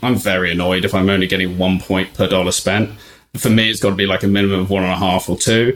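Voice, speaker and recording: A man with a British accent, fairly low-pitched and fairly even in intonation. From UK. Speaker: travel points website founder. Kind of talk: casual chat.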